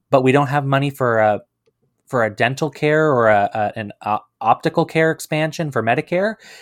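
This man has an ordinary speaking voice, fairly high in pitch, with lively intonation at a moderate pace. The recording is very clean with a silent background and a dry, close sound with no echo. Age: 20s. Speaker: party leader, politician. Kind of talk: political interview.

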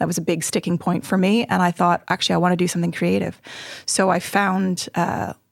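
In a Canadian accent, a woman talks at a very fast pace. Her fairly low pitch carries vocal fry. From Montreal, Canada. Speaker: weaving studio owner. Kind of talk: casual interview. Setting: podcast studio.

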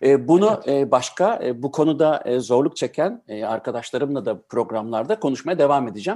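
A normal speaking voice from a man, fairly high in pitch, with lively intonation and hardly any pauses. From Germany-born, Turkish family. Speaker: radio host. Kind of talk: casual interview.

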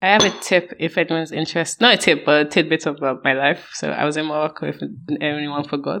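Her tone is bright and sharp, with vocal fry and a very deep, low pitch. The woman talks at a very fast pace with ordinary pitch variation. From Nigeria. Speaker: podcast guest co-reviewer. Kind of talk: casual chat.

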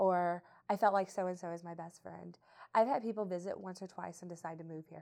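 Speaking fairly quickly with an American accent, a woman uses a dark, mellow tone at a fairly low pitch, with fairly even intonation and big swings in loudness. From southeast Missouri. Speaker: chamber of commerce president. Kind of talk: casual group conversation.

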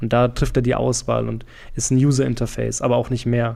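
With a slight Franconian accent, a man speaks in a dark, mellow tone at a medium pitch, his intonation monotone and flat. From Franconia, Germany. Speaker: PR professional and podcaster. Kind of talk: casual interview chat.

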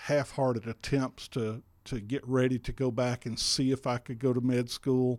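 A man with an Alabama accent, monotone and flat in intonation, at a fairly slow pace, in a very clean recording with a silent background. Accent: Southern US (Alabama). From US South, Alabama. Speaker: physician, former radio DJ. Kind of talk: interview testimony.

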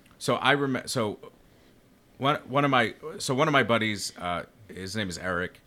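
Speaking at a fairly slow pace, a man with a bright, sharp tone leaves long, frequent pauses. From Rhode Island, New England. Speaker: cigar company sales executive. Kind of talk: casual chat.

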